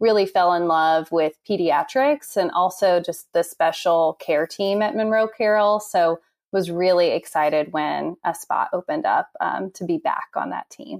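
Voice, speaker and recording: On a very clean recording with a silent background and a dry, close sound with no echo, a woman speaks in a normal speaking voice at a medium pitch and moderate pace with ordinary pitch variation. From Indiana, US Midwest. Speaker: music therapist. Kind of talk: interview.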